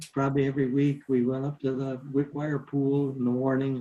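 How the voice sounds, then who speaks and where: A man talks at a fairly slow pace with an American accent. His medium-pitched voice has monotone, flat intonation. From upstate New York, Marathon. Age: 80s+. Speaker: senior center participant. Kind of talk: reminiscing in group video call. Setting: video call.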